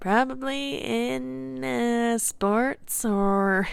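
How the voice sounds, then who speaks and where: A female-sounding put-on character voice at a medium pitch swings very widely in pitch. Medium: audio drama. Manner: casual, teasing.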